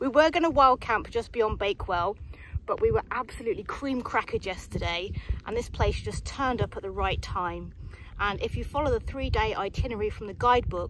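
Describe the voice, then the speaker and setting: A woman talks at a fairly quick pace. The sound is dry with no echo, though noticeable background noise is present. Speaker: hiking vlogger. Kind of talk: casual vlog chat. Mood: cheerful, upbeat. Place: open country. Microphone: phone near.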